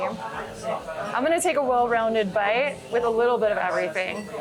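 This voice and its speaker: Lively intonation amid audible room echo and noticeable background noise. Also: woman. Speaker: travel vlogger. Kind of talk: travel vlog narration.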